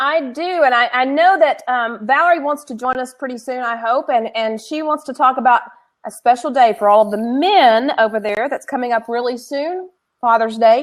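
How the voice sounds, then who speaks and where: The speaker is a woman with a high pitch. Her voice shows ordinary pitch variation. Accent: slight Southern. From Tennessee. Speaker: co-host, education consultant. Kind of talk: casual chat.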